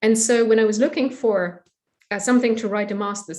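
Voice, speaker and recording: A woman speaks with a German accent. Her pitch is medium and her pace fairly quick. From Germany. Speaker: historian. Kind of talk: academic interview. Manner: hesitant with fillers.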